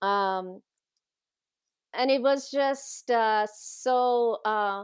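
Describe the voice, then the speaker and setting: The speaker talks at a very slow pace in a Persian accent. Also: woman, fairly high pitch for a woman, ordinary pitch variation. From Iran. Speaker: teacher. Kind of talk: interview.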